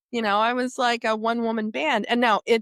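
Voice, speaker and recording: A woman with an American accent is heard in a very clean recording with a silent background, the sound dry and close with no echo. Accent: Southern accent, reduced. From Appalachia, southeastern Ohio. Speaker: media executive. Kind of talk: interview.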